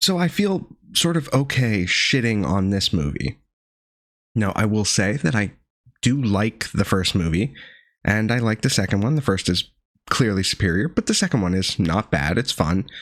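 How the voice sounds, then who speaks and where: A man speaks at a moderate pace with a fairly low pitch and very wide pitch swings, keeping his loudness very even. The recording is very clean, with a silent background. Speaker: movie reviewer. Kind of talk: video review monologue. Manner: casual, with filler uhs.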